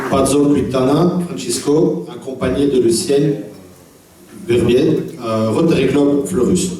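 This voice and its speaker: Over noticeable background noise and audible room echo, a man with a non-native accent speaks at a fairly high pitch, very slowly and at a very even loudness, with long, frequent pauses. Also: ordinary pitch variation. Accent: foreign accent in French. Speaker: club protocol officer. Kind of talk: formal speech.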